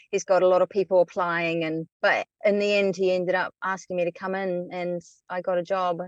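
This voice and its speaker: A woman speaks with a New Zealand accent at a medium pitch. She goes at a fairly quick pace in a monotone, flat intonation. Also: dry, close sound with no echo. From New Zealand (Wellington). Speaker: writer, former volunteer radio announcer. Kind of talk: casual chat. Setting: remote call from inside her car.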